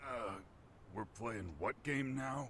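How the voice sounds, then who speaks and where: A raspy, put-on character voice with lively intonation comes through clear background noise. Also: man. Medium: video game.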